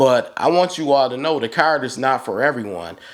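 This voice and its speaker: A man's medium-pitched voice with vocal fry, an American accent, lively intonation and a moderate pace. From Buffalo, New York (east side). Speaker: YouTuber giving credit card advice. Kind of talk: casual vlog monologue. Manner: conversational, direct.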